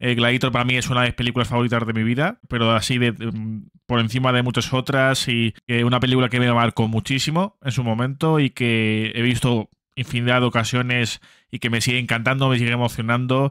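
Against a quiet background, a man talks at a fairly quick pace with monotone, flat intonation and a dry sound with no echo. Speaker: film reaction youtuber. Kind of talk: casual commentary before trailer reaction. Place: home room. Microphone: studio mic.

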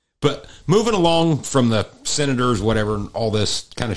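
A man speaks in an ordinary speaking voice with lively intonation, on a very clean recording with a silent background. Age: 40s. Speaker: farmer and podcast host. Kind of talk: casual chat.

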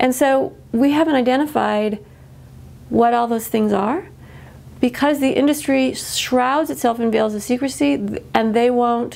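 A woman with an American accent, high in pitch, unhurried at a fairly slow pace, with ordinary pitch variation. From US Midwest, central Illinois. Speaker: biologist and author, activist. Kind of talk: interview, advocacy talk. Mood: earnest, concerned advocacy.

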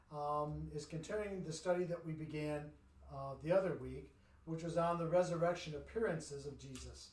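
With audible room echo, a man speaks at a moderate pace. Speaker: pastor leading bible study. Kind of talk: bible study introduction. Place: church. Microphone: camera far.

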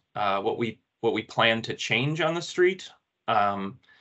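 A man speaks against a quiet background. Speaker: public presenter. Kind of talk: public meeting presentation. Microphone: video call.

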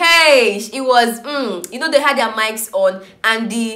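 A woman speaks at a fairly slow pace. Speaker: reality TV vlogger. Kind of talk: casual vlog chat. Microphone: phone near.

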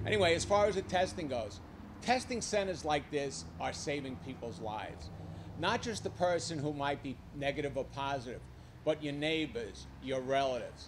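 A moderate-paced voice in a Brooklyn accent with vocal fry and very wide pitch swings, over noticeable background noise. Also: man. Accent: Brooklyn New York. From New York. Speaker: civilian army aide. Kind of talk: public remarks. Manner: animated. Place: hall. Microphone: podium.

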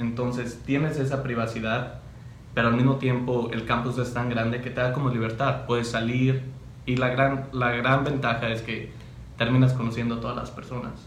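Amid light background noise and audible room echo, a man speaks at a moderate pace with monotone, flat intonation. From Mexico, Cotija, Michoacán; Michoacán, Mexico. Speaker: university student; interviewee. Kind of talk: interview. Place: meeting room.

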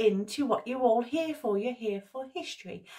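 A high-pitched woman with lively intonation over a quiet background. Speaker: history vlogger. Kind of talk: casual vlog chat. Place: home room.

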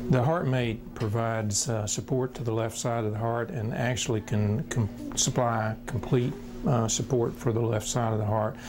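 At a moderate pace with hardly any pauses, a man speaks at a medium pitch with fairly even intonation over noticeable background noise. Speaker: transplant surgeon. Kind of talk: interview answer.

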